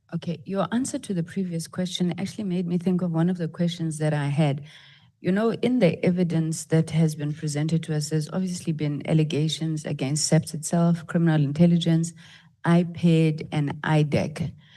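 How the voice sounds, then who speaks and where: A woman's fairly low, dark, mellow voice, somewhat breathy, with fairly even intonation at a moderate pace. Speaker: parliamentary committee member. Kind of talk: parliamentary questioning. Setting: committee hearing.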